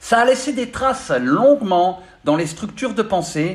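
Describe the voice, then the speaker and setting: The speaker moves at a fairly slow pace. The intonation is lively. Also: man. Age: 50s. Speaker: spiritual coach. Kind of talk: spiritual monologue. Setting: studio. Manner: halting, many filler sounds.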